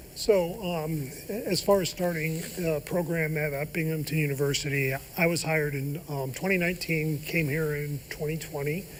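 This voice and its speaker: A man's fairly high voice with an American accent, fairly even intonation and a moderate pace, with audible room echo and noticeable background noise. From Ohio. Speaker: professor. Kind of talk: TV interview. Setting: studio. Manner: halting.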